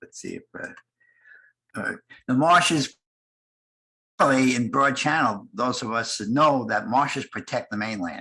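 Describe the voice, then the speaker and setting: A man talks at a moderate pace in a medium pitch with ordinary pitch variation and a bright, sharp tone. His loudness swings widely, and he leaves long, frequent pauses. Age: 80s+. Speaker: conference panelist, bay naturalist. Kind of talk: conference presentation. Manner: halting.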